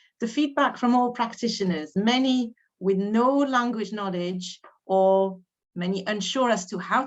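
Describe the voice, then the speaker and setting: A slight French accent carries this lively, bouncing intonation. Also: woman. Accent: slight French accent when speaking English. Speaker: education adviser hosting teacher training. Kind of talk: webinar introduction.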